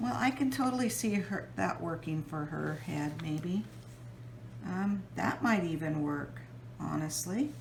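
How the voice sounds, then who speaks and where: Fairly slow speech from a woman with a very deep, low pitch and very wide pitch swings, plus audible room echo and noticeable background noise. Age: 60s. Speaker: mixed media artist. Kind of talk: tutorial. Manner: casual, hesitant with fillers.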